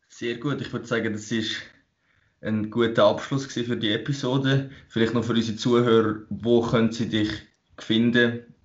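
A man's medium-pitched, monotone voice with flat intonation, with audible room echo. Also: moderate pace. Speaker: fitness podcast co-host, bodybuilder. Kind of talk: casual chat.

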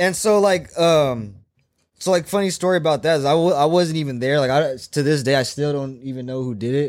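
This man has an unremarkable speaking voice, fairly high in pitch, with ordinary pitch variation and a fairly quick pace. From San Diego, California. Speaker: truck driver. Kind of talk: casual chat. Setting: studio.

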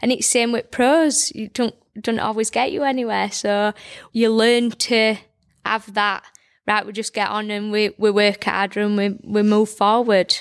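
With a Yorkshire accent, a woman speaks at a fairly slow pace and with fairly even intonation on a very clean recording with a silent background. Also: fairly high pitch for a woman. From Barnsley, South Yorkshire, England. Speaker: boxing coach and orthodontic therapist. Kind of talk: casual interview. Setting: studio. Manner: well-spoken.

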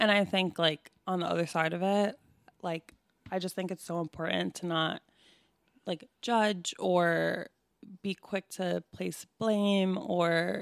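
A woman has a normal speaking voice with a fairly low pitch and fairly even intonation. She talks at a fairly slow pace in a dry, close sound with no echo. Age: 30s. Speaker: podcast co-host. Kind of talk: casual chat.

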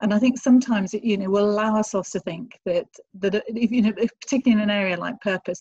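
A woman speaks at medium pitch with ordinary pitch variation and a somewhat breathy voice. The sound is dry and close with no echo, over a quiet background.

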